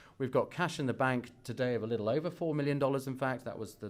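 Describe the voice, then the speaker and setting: The man talks at a very fast pace. His accent is British. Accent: British accent, noticeable. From UK. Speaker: biotech company executive. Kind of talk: investor presentation. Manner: hesitant, many fillers and restarts.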